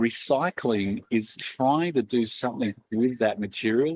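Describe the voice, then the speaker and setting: The sound is dry and close, with no echo. A man with an Australian accent talks with ordinary pitch variation. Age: 40s. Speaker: company founder and CEO. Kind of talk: talk to a live audience. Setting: event with audience.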